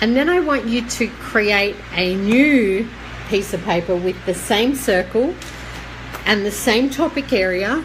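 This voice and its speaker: A woman's fairly high, lively voice at a very slow pace, with noticeable background noise. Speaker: psychic medium. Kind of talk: live stream guidance talk. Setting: live online video stream.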